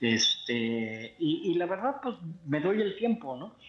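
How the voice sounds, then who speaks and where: Lively intonation marks this man's speech, with noticeable background noise behind it. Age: 60s. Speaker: mobile game player. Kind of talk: casual chat.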